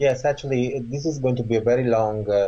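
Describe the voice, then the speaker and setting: At a moderate pace, a man speaks at medium pitch. His voice is somewhat breathy, with ordinary pitch variation. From southern Italy. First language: Italian. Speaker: author and Reiki teacher. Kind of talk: interview.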